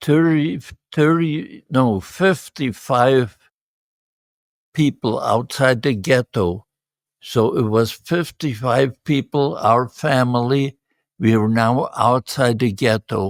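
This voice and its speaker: A man speaks at a very slow pace with very even loudness. The sound is dry and close, with no echo. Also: medium pitch for a man, ordinary pitch variation, very clean recording, silent background. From Poland. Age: 80s+. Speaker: Holocaust survivor. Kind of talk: interview answer.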